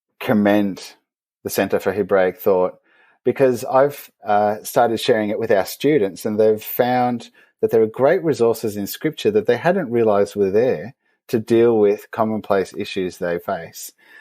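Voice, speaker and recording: A man with an Australian accent at a moderate pace, ordinary pitch variation, in a very clean recording with a silent background. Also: medium pitch for a man. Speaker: theologian. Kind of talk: interview.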